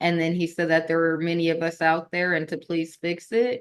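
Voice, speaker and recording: This is a woman speaking. Her pitch is fairly low. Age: 20s. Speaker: Army National Guard member and founder of a veteran support platform. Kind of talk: podcast interview.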